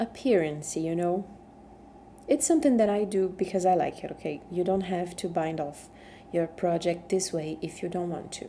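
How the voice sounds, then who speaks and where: A woman with a strong Brazilian accent, medium pitch and a dark, mellow tone speaks with long, frequent pauses. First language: Portuguese. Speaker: knitting instructor. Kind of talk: tutorial. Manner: conversational with fillers and tag questions.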